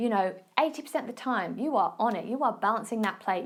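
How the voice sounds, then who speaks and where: This speaker has an Essex accent. The intonation is lively. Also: woman. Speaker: fitness and nutrition coach, podcast host. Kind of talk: casual advice talk. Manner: casual, chatty.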